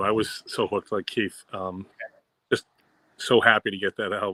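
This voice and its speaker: In a very clean recording with a silent background and a dry, close sound with no echo, a man speaks at a medium pitch in a bright, sharp tone. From Boston area, US. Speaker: music fan panelist. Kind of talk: casual chat.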